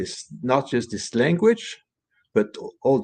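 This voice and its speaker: Speaking with a French accent, a man uses a medium pitch with very wide pitch swings. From France. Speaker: author and bilingualism advocate. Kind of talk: panel interview. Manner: halting, many fillers and repetitions.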